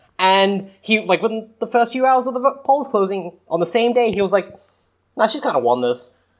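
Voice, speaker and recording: A man with an Australian accent, high in pitch, with ordinary pitch variation, at a moderate pace. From Australia, New South Wales. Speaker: podcast co-host. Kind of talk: casual chat. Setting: remote call.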